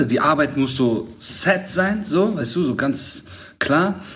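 Speaking at a fairly slow pace over noticeable background noise, a man with a fairly high pitch makes very wide pitch swings. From Middle Eastern background, raised in Germany. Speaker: podcast host. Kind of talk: casual chat.

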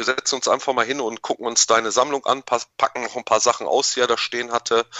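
A normal speaking voice, its intonation fairly even. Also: man. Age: 30s. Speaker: YouTuber and toy collector. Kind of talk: casual chat.

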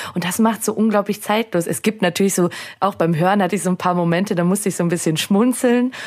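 With an ordinary speaking voice, a woman speaks at a medium pitch and with fairly even intonation. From Austria, Salzburg. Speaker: podcast co-host. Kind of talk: casual chat; scripted narration.

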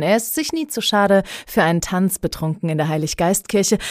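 The recording is very clean, and the background is silent. A woman talks at a fairly quick pace. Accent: Palatine. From Heidelberg, Germany (Pfaffengrund). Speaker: podcast host. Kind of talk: casual interview chat.

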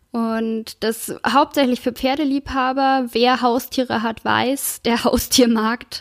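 A woman speaks with a high pitch at a very slow pace. Her intonation is fairly even. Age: 30s. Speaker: podcast host and entrepreneur. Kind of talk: solo podcast monologue.

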